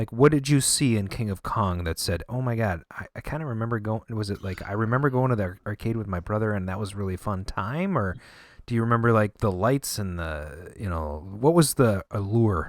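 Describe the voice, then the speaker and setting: A man has a plain, everyday voice with a fairly low pitch and lively intonation. He goes at a fairly quick pace with hardly any pauses, in a very clean recording with a silent background. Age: 40s. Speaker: podcast host. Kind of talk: podcast interview.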